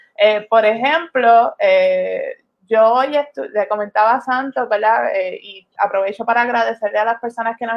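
An ordinary speaking voice from a woman, moderate in pace, fairly even in intonation, with big swings in loudness. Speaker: podcast co-host. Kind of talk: casual discussion. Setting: Facebook live stream.

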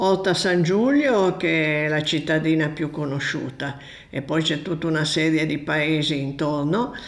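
With audible room echo, a woman speaks at a fairly slow pace in a very deep, low pitch with ordinary pitch variation. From Piedmont, Italy (Novara area). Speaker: friend of host, traveller. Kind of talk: casual interview, travel stories.

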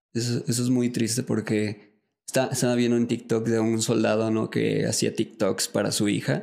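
A man at medium pitch with monotone, flat intonation, very even loudness and a moderate pace. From Mexico. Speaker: podcast host. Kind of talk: interview. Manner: casual.

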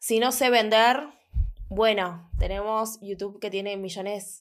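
A woman speaks at a fairly slow pace in a normal speaking voice, on a very clean recording with a silent background. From Argentina, Buenos Aires. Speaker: eyelash academy owner. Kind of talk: casual chat.

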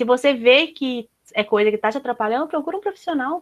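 A woman's ordinary speaking voice at a fairly quick pace with lively intonation, dry and close with no echo. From Minas Gerais, Brazil. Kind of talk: casual chat.

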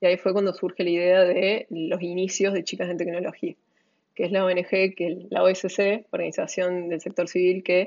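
A woman talks at a moderate pace. Her intonation stays flat and monotone. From Córdoba, Argentina. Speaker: entrepreneur. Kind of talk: interview.

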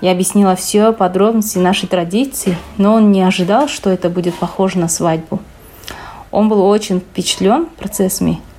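Her medium-pitched voice has a dark, mellow tone, and this woman keeps a moderate pace with fairly even intonation and very even loudness. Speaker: chemistry researcher. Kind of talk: reading prepared answers.

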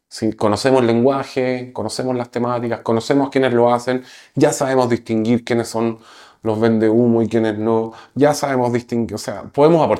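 Recorded very cleanly against a silent background, a man with a plain, everyday voice speaks at a moderate pace, medium in pitch and fairly even in intonation. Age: 40s. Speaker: entrepreneur. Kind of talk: interview.

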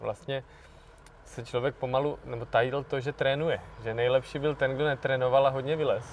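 A man's plain, everyday voice, medium in pitch, at a moderate pace. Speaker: climbing podcast host. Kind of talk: podcast outro; casual interview.

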